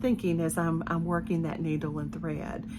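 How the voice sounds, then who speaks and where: A woman with a Southern US accent at a moderate pace, with music in the background. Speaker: cross-stitch designer and video host. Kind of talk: casual vlog talk to viewers.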